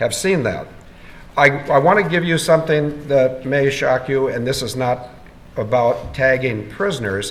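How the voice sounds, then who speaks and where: A man speaks at a moderate pace with fairly high pitch. His pitch varies in an ordinary way, and room echo is audible. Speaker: conference speaker. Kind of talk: Q&A session.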